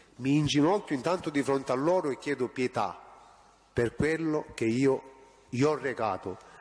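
This man's voice sits fairly high, and his pitch moves in an ordinary way. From Reggio Calabria, southern Italy. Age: 40s. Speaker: witness, state informant. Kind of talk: court testimony. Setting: courtroom. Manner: halting.

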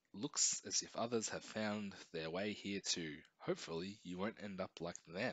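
Pitch shifts in an ordinary way. The reading voice is unforced.

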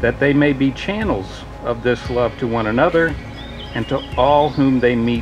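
A man speaks with ordinary pitch variation while clear music plays in the background. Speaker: ceremony reader giving a blessing. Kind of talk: prayer reading at a wedding. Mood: warm, solemn. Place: garden. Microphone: podium.

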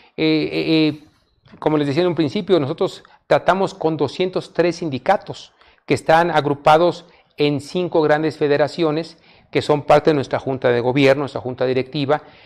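This man's pitch is fairly high, his intonation fairly even. He keeps a moderate pace. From Mexico, Oaxaca (Mixteca region); Oaxaca, Mexico. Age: 50s. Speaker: politician and public official; politician. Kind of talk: interview. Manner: halting, repeats words. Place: studio. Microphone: lapel.

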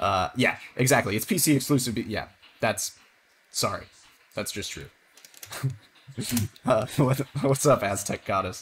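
A man with a medium pitch talks at a moderate pace with ordinary pitch variation. He takes long, frequent pauses, and light background noise can be heard. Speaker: speedrunner streamer. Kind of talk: live stream game commentary. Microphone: headset.

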